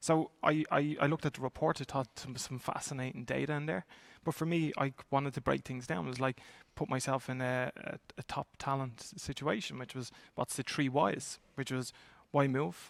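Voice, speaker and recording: The speaker has an Irish accent and ordinary pitch variation. The pace is moderate, and the sound is dry and close with no echo. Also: man, medium pitch for a man. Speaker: talent acquisition executive. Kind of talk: panel discussion. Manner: halting, many repetitions.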